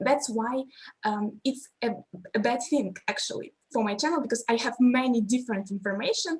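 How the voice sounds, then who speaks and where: This woman, with a Russian accent, speaks at a high pitch. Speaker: language teacher. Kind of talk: panel discussion. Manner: halting.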